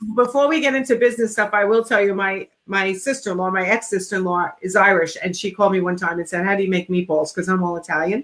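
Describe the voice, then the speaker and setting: A woman with an American accent talks at a very fast pace and medium pitch, with ordinary pitch variation and hardly any pauses. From Long Island, New York. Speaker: interior design business coach. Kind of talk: casual chat. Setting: live video stream.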